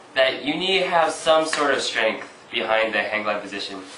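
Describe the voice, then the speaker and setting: Over noticeable background noise and audible room echo, a man speaks at a fairly quick pace with very wide pitch swings. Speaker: breakdance instructor. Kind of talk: tutorial. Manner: casual, hesitant with fillers.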